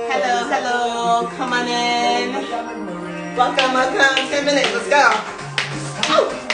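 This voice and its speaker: A woman at a fairly slow pace, with loud music in the background. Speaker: fitness instructor. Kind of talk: live workout coaching chat. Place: home room.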